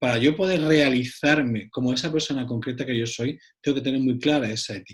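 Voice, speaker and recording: A man in an Andalusian accent at a fairly quick pace, medium pitch, and ordinary pitch variation. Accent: Andalusian (Cádiz). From Cádiz, southern Spain. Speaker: psychologist and author. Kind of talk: round-table discussion.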